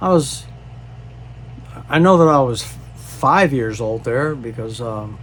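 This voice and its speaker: A medium-pitched man at a fairly slow pace, with noticeable background noise. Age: 70s. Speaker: disaster relief charity founder. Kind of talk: personal storytelling monologue. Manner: halting, many fillers.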